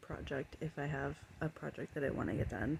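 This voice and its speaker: A woman's very deep, low voice with vocal fry, a dark, mellow tone, fairly even intonation and a moderate pace. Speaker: cleaning vlogger. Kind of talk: casual vlog talk to camera. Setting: home, bedroom. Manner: loud; filler-heavy, says um a lot.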